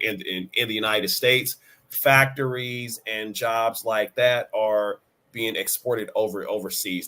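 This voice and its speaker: A man speaks fairly slowly with a bright, sharp tone. His pitch is medium, and his intonation stays fairly even. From Kansas City, Missouri. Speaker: writer and speaker. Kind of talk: podcast interview answer. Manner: stuttering, with repetitions.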